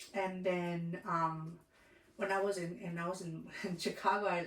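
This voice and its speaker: Someone with a Spanish accent speaks at a moderate pace amid noticeable background noise. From Southern California. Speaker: comedian. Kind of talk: interview. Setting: studio. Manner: halting, many fillers and restarts.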